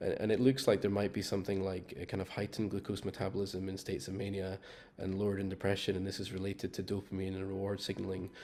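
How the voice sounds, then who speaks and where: A man speaks with a Scottish accent in a dark, mellow tone at a fairly low pitch. He talks very fast in a flat monotone. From Scotland. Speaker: metabolic psychiatry researcher. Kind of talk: panel discussion. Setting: video call. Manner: hesitant, with fillers.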